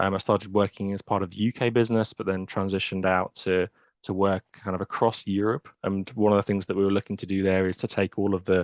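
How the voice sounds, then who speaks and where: A man with a British accent, fairly low pitch, very fast pace and monotone, flat intonation, in a dry, close sound with no echo over a quiet background. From England. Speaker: software architect. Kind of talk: webinar interview. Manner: hesitant, many fillers.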